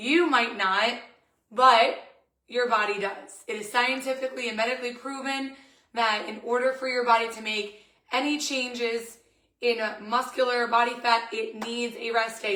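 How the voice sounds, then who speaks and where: Audible room echo colors the recording. The woman keeps her intonation fairly even. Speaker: fitness coach. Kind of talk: guided stretch class.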